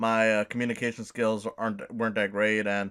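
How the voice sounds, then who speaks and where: This is a man's voice. The recording is very clean, with a silent background. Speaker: video essayist. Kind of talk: video essay rough draft narration. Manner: halting, many fillers and repetitions; casual.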